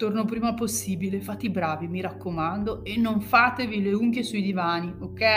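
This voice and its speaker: Over noticeable background noise, a woman talks at a moderate pace in an animated tone, her pitch medium with ordinary variation. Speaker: author reading her own novel aloud. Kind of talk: audiobook reading of a novel, narration with in-character dialogue. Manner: animated, changes tone for characters, urgent and expressive in tense scenes; stuttering delivery for the nervous character Fabio.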